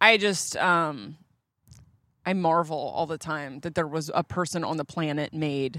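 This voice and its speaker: The tone is bright and sharp, with ordinary pitch variation and a fairly slow pace. The recording is very clean, with a silent background. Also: woman, very deep, low pitch for a woman. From Delaware. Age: 30s. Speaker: comedian. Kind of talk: casual chat. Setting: outdoors.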